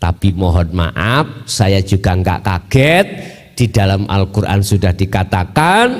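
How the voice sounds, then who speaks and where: With a Javanese accent, the speaker goes at a very slow pace amid noticeable background noise. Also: man. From Mojokerto, East Java, Indonesia. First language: Javanese (speaking Indonesian). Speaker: Islamic Sufi teacher. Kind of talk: religious lecture. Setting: Islamic boarding school gathering.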